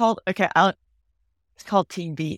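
A woman with an American accent and vocal fry, in a dry, close sound with no echo and a very clean recording with a silent background. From California, US. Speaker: television showrunner and executive producer. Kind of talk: casual podcast interview.

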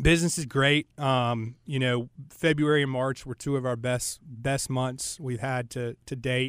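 A man with an American accent and an unremarkable speaking voice talks at a fairly slow pace with hardly any pauses. His intonation is fairly even. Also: medium pitch for a man. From Charlotte, North Carolina. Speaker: club owner and commercial real estate professional. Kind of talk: casual interview chat.

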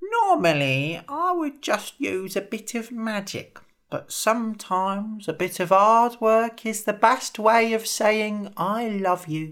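In a put-on character voice, a female-sounding speaker goes at a fairly slow pace with hardly any pauses and a fairly high pitch, on a very clean recording with a silent background. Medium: read story. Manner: chatty, wry.

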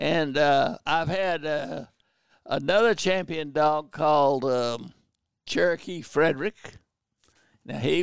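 A man speaks in a Southern US accent at a fairly slow pace. His voice is fairly high-pitched, with ordinary pitch variation. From North Carolina, Pembroke area. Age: 90s. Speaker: war veteran and bird hunter. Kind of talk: casual interview. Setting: video call. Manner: halting.

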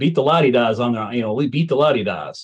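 With an unremarkable speaking voice, a man holds a medium pitch and shows ordinary pitch variation. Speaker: vintage baseball player. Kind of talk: casual interview.

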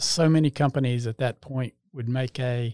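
A man speaks with a North Carolina accent at a medium pitch. The intonation stays fairly even, and the sound is dry and close with no echo. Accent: US Southern, North Carolina. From North Carolina, Salisbury. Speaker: home builder. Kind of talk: interview.

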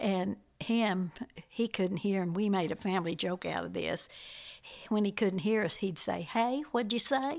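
Speaking at a fairly slow pace, a woman has an ordinary speaking voice at a medium pitch with ordinary pitch variation. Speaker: host's mother. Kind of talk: casual storytelling. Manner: laughs often.

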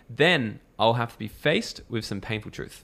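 A man is talking. He has an Australian accent. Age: 20s. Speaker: entrepreneur and mentor. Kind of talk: casual interview chat. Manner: animated.

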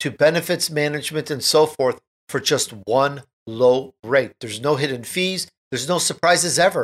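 A man's fairly high-pitched, ordinary speaking voice at a moderate pace, with ordinary pitch variation. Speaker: radio talk show host. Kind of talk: interview.

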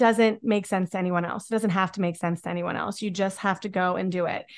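Against a quiet background, a woman with an American accent and an unremarkable speaking voice talks at a fairly quick pace with ordinary pitch variation. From Pennsylvania, near Pittsburgh. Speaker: author and podcaster, mother. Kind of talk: interview conversation.

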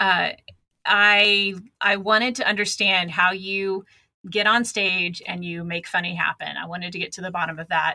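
This woman has an unremarkable speaking voice at a medium pitch and a moderate pace. Her intonation stays fairly even, but her loudness swings widely. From Texas. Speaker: podcaster.

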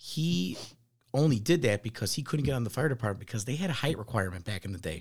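In a very clean recording with a silent background, a man talks very fast in a somewhat breathy voice with very wide pitch swings. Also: medium pitch for a man. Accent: American. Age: 30s. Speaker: firefighter. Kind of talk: casual chat.

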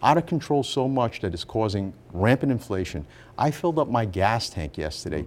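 A man at a medium pitch with very wide pitch swings and vocal fry, moderate pace, very clean recording with a silent background. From Rhode Island, US. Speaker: politician, former mayor. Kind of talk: radio interview. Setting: studio.

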